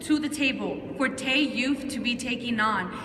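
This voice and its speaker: A woman's raised, projected voice at a high pitch, with ordinary pitch variation and a moderate pace, amid noticeable background noise and audible room echo. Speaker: youth advocate. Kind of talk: rally speech. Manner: loud; animated.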